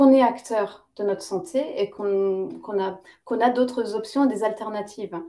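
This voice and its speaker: Fairly high in pitch with ordinary pitch variation, a woman's voice has a dark, mellow tone. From Lebanese-British, lived in several countries. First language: English (speaking French). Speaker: naturopath and yoga teacher. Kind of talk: interview. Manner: hesitant, many fillers.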